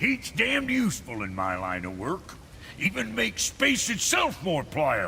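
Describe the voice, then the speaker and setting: A man puts on a gruff character voice at a moderate pace, with clear background noise behind him. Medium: video game. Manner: gruff, colloquial.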